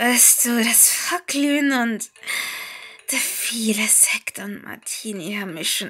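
Background noise is noticeable throughout. Underneath it, a woman whispers very slowly. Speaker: storyteller. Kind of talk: horror story narration. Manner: long pauses.

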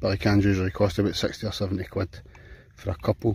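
Somewhat breathy, a man's fairly low voice comes through with a dry sound and no echo. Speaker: outdoor cooking vlogger. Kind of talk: casual vlog chat. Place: beach. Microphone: phone near.

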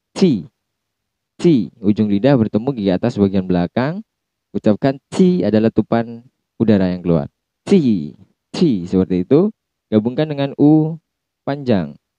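Very wide pitch swings from a man with a fairly low voice, long, frequent pauses, a dry sound with no echo and a quiet background. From Indonesia. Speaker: university lecturer. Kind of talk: recorded lecture. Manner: slow, repeating sounds for practice. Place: office. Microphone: handheld.

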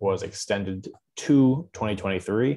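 A man speaks with a fairly low pitch and ordinary pitch variation. The background is quiet. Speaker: webinar moderator. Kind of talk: webinar moderation. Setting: video call. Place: home room. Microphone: webcam.

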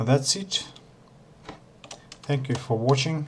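A man with a non-native accent speaks at medium pitch with fairly even intonation. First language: not English. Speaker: Blender tutorial maker. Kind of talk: software tutorial narration.

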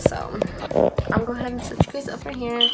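A woman's voice with clear music in the background. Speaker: mother vlogger. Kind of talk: casual vlog chat. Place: kitchen. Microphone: phone near.

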